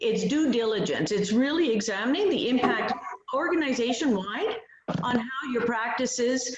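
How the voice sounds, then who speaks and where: Noticeable background noise and audible room echo around a woman talking at a moderate pace. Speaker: privacy advisor. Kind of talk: webinar presentation.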